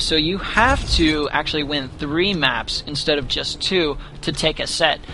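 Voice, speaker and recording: A man talks at a fairly high pitch. Noticeable background noise runs under his voice. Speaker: esports caster. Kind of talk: live commentary. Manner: animated, excited.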